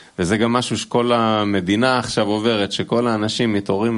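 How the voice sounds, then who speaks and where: Fairly quick and monotone, with flat intonation, the man's voice sits fairly low. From Israel. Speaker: musician. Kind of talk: casual chat. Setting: studio.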